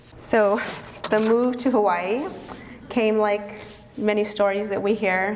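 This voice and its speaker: A woman talks at a very slow pace in a fairly high, monotone, flat voice. Long, frequent pauses break her speech over noticeable background noise. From northern New Mexico. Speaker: vegan cafe owner and activist. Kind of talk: storytelling talk to an audience. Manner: casual, conversational.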